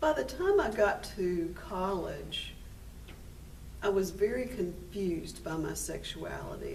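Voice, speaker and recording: A woman talks at a fairly slow pace, with audible room echo and noticeable background noise in the recording. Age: 50s. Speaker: minister and AIDS care organizer. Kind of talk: personal testimony interview. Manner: hesitant with fillers.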